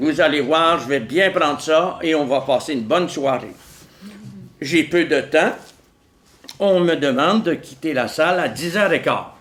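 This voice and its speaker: This man's voice sits fairly high for a man, with ordinary pitch variation and long, frequent pauses. Audible room echo surrounds it. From Quebec, Montreal. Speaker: philosopher and author. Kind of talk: lecture. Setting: stage with audience. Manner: slow; calm.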